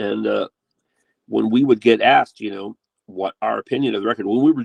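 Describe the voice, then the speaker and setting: A man talks at a very fast pace, the sound dry and close with no echo. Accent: American. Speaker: metal guitarist and producer. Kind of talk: casual interview chat. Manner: halting, many fillers.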